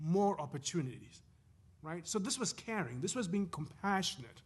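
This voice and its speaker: A high-pitched man with a non-native accent and lively intonation, at a moderate pace. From Zimbabwe. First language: not English. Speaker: professor. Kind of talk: panel talk. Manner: halting.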